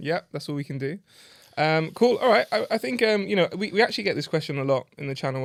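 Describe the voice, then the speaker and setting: Delivered at a very fast pace in a British accent, the speech comes through a very clean recording with a silent background. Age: 30s. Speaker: podcast host, judo coach. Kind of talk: casual podcast chat.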